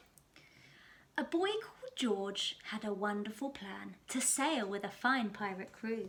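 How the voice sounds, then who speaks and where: At a fairly slow pace, a woman with a plain, everyday voice speaks in a fairly high pitch with ordinary pitch variation and big swings in loudness. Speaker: primary school teacher. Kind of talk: children's story reading. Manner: lively, expressive.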